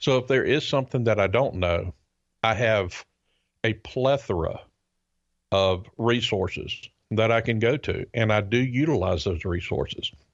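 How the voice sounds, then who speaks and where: In a Southern US accent, a man speaks at a medium pitch with ordinary pitch variation and very even loudness. Long, frequent pauses break up his speech against a quiet background. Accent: Southern American drawl, noticeable. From US South. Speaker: podcast co-host and private pilot. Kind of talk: casual chat. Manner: hesitant, many fillers.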